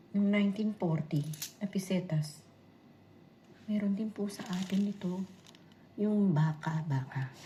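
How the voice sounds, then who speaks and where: A woman's medium-pitched, somewhat breathy voice at a very slow pace, with ordinary pitch variation and long, frequent pauses. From Philippines. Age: 60s. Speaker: vlogger. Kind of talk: casual vlog show-and-tell. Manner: repetitive filler-heavy.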